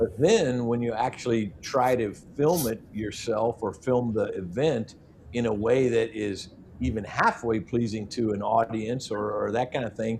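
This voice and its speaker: This man has an unremarkable speaking voice with a medium pitch. He speaks fairly slowly with fairly even intonation. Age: 60s. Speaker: metal detecting youtuber. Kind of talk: casual chat.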